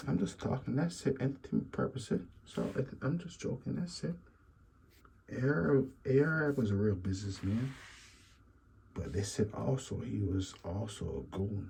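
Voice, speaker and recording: Fairly low in pitch, a man speaks at a moderate pace in a dark, mellow tone with vocal fry. His pitch swings very widely, and he leaves long, frequent pauses. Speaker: YouTube commentator. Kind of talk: casual commentary monologue.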